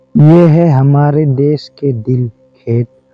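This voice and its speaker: Music plays in the background as a man speaks. His fairly high voice shows ordinary pitch variation. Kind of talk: emotional nature voiceover narration. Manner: emotional, reflective.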